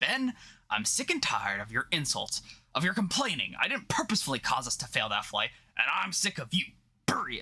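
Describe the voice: In a put-on character voice of medium pitch, a man speaks at a moderate pace with a bright, sharp tone, very wide pitch swings and a slightly husky edge.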